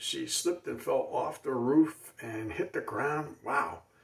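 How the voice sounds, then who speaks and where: A man speaks at a very slow pace against a quiet background. His voice carries audible room echo. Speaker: comedian. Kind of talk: stand-up. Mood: deadpan joking. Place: home room. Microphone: phone near.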